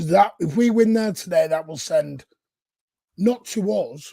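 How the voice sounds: With a dark, mellow tone and vocal fry, a man speaks at a high pitch and a fairly slow pace, his intonation lively.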